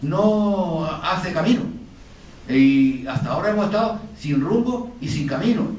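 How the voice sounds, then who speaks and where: A man talks in a high voice with very wide pitch swings. Audible room echo and noticeable background noise surround him. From Canary Islands. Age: 70s. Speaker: painter. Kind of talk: panel discussion. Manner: halting.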